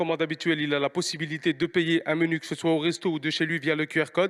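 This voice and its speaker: A man talks very fast in a high voice, the sound dry and close with no echo and the background silent in a very clean recording. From France, Paris region (Mantes-la-Jolie). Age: 30s. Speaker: restaurant owner, entrepreneur. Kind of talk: pitch. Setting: stage with audience. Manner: halting, many repetitions.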